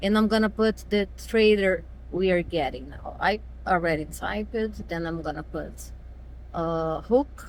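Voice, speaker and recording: A woman talks with a Brazilian accent. Her pace is very slow. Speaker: truck driver. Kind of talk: app tutorial walkthrough.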